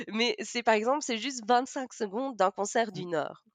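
A woman with a Belgian accent and a fairly high pitch, very wide pitch swings, a moderate pace, a dry, close sound with no echo and a quiet background. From Belgium, Namur. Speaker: teacher of deaf children and sign-song performer. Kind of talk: interview.

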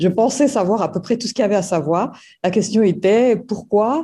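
Lively intonation marks this woman's speech, delivered in a dark, mellow tone. The background is quiet. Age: 50s. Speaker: former program participant. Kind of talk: testimony. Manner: halting, many hesitations.

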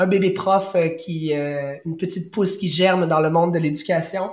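A man with a high voice talks at a fairly slow pace and ordinary pitch variation, with audible room echo. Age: 30s. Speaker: primary school teacher. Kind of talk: testimony.

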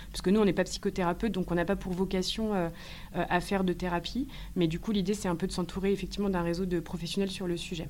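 The delivery is very fast, with monotone, flat intonation. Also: woman, medium pitch for a woman. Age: 30s. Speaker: eco-anxiety support entrepreneur, former HR worker. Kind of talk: interview. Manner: hesitant, many fillers.

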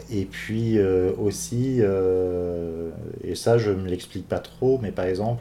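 The man's pitch is fairly low. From Brittany, France. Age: 30s. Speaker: interviewee. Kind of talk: personal testimony. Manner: halting, many fillers.

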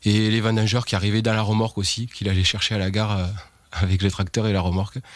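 A man with a fairly low pitch speaks in a monotone, with flat intonation. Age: 40s. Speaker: winegrower. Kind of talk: interview testimony. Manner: hesitant, many fillers.

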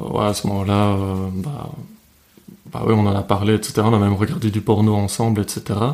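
Against noticeable background noise, a man with a fairly low pitch talks at a fairly slow pace, his intonation fairly even and his pauses long and frequent. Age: 20s. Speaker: podcast guest. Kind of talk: casual chat.

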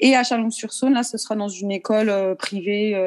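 Her pace is moderate and her pitch variation ordinary. The woman has an unremarkable speaking voice with a fairly high pitch. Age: 30s. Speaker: ballet teacher. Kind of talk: interview.

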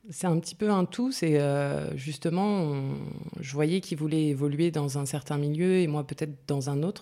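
In a very clean recording with a silent background, a woman speaks at a moderate pace with a very deep, low voice, a dark, mellow tone and fairly even intonation. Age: 30s. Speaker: writer behind a humorous social media account. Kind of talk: interview. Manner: hesitant, many fillers and repetitions.

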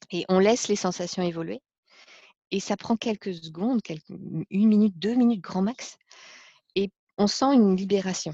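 A woman with a medium pitch and ordinary pitch variation talks at a moderate pace, somewhat breathy, with long, frequent pauses. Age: 40s. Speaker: life coach. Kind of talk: personal testimony interview. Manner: hesitant, many fillers.

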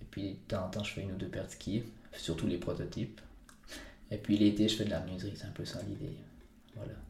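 Very fast speech with vocal fry, monotone, flat intonation, long, frequent pauses and audible room echo. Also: man, fairly low pitch for a man. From Switzerland, Valais (Entremont valley). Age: 20s. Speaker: mountain guide and ski maker. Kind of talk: interview. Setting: his workshop. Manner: halting.

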